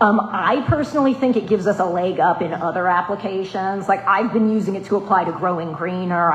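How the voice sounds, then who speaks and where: A woman with an American accent talks with hardly any pauses while music plays in the background. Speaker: stormwater program coordinator presenting to a board. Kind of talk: public meeting presentation. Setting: municipal board meeting. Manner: fast.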